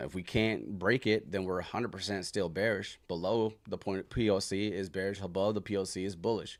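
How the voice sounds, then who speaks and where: This man has an ordinary speaking voice with fairly low pitch and fairly even intonation. He talks at a fairly quick pace with hardly any pauses. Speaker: stock trader streaming live trading sessions. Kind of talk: live trading tutorial. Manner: casual, filler-heavy.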